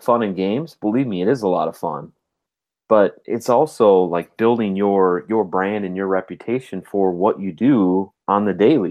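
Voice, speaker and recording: A man with an Upper Midwest accent, fairly low in pitch and at a fairly slow pace. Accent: Upper Midwest (Minnesota). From Minnesota. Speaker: podcast co-host. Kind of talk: casual chat.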